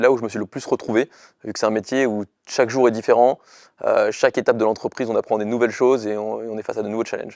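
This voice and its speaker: A man's very fast, monotone delivery with flat intonation, dry sound with no echo, and a quiet background. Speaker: startup founder. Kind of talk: interview. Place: studio. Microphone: lapel.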